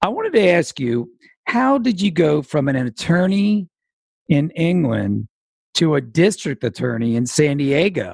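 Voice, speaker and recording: At a fairly slow pace, a man with a fairly high pitch makes very wide pitch swings in a dry, close sound with no echo. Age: 50s. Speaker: podcast host and senior advocate. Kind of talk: interview.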